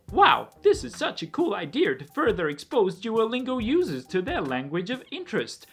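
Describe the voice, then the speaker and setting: In a put-on character voice at a fairly high pitch, the speaker swings very widely in pitch and greatly in loudness at a moderate pace, with music in the background. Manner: mocking, fake-earnest.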